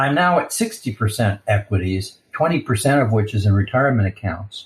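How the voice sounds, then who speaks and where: Somewhat breathy and very even in loudness, this voice moves at a fairly quick pace with lively intonation. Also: man, medium pitch for a man. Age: 60s. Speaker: physician, listener. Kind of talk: recorded voicemail question.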